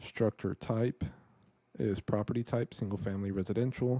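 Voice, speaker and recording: Against a quiet background, a man's fairly low voice comes through dark and mellow, with a dry sound and no echo. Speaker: real estate investor; presenter. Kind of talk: screen-share tutorial. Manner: casual. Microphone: studio mic.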